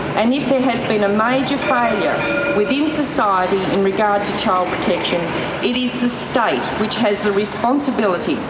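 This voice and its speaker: Against noticeable background noise, a woman with a fairly high voice speaks at a moderate pace with ordinary pitch variation. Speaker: politician. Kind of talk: political rally speech. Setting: outdoors.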